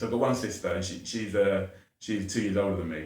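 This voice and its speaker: In a room with audible echo, a man speaks with a southern English accent. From southern England, Watford. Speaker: educator and charity founder. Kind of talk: podcast interview.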